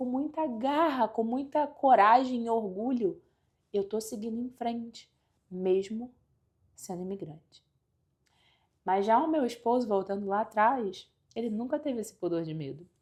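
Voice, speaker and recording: A woman's fairly high voice at a fairly slow pace, broken by long, frequent pauses. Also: lively intonation. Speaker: life coach / motivational vlogger. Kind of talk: motivational talk to camera. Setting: at home by a window.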